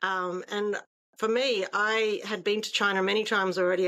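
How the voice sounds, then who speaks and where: In a very clean recording with a silent background, a woman with an Australian accent talks at a fairly quick pace in a bright, sharp tone. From Australia, Darwin. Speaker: trade consultant. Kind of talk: interview.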